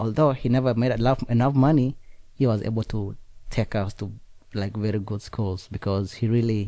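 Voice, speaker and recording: With a strong Kenyan accent, a man speaks at a moderate pace in a fairly low, dark, mellow voice with fairly even intonation, on a very clean recording with a silent background. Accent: heavy Kenyan. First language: Nandi. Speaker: student. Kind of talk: interview.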